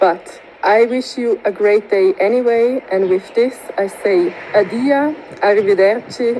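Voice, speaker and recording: Against noticeable background noise, a woman speaks with a Swiss German accent. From Switzerland, Grisons canton. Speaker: tourism researcher. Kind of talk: recorded video presentation.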